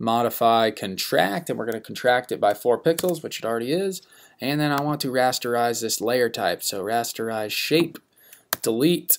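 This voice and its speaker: A man talks at a moderate pace in an unremarkable speaking voice, medium in pitch with ordinary pitch variation. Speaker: design instructor. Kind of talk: tutorial. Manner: casual with many fillers.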